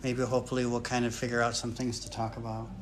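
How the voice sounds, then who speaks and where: With an American accent, a man talks at a fairly quick pace in a medium pitch, and audible room echo surrounds his voice. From US Midwest, Michigan (Kalamazoo). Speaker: retired academic, channel owner. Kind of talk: casual chat on a livestream. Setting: live video stream with wife. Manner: hesitant, many fillers.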